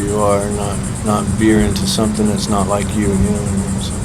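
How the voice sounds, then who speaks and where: A man's fairly low-pitched voice with an American accent, very fast pace, audible room echo and noticeable background noise. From central Florida. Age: 30s. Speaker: homeless man. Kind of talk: interview.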